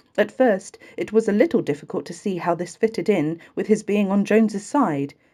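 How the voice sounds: With ordinary pitch variation, the speaker reads in a natural reading voice.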